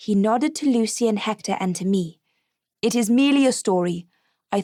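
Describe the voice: Quiet surroundings and plain reading aloud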